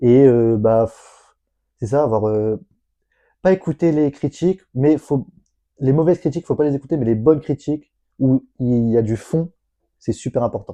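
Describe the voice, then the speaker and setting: At a moderate pace but with long, frequent pauses, a man speaks at medium pitch in a dark, mellow tone with ordinary pitch variation, the sound dry and close with no echo. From northern France, Lille. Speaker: sports association founder. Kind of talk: casual interview. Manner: stammering.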